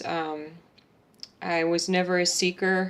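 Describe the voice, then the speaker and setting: Speaking in a fairly low pitch with an American accent, a woman keeps a monotone, flat intonation. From Texas. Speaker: patient advocate. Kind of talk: testimony. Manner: halting.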